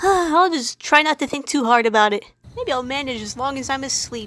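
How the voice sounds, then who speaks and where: Pitched high, a female-sounding cartoonish character voice rattles along at a fairly quick pace. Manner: excitable, naive, rambling.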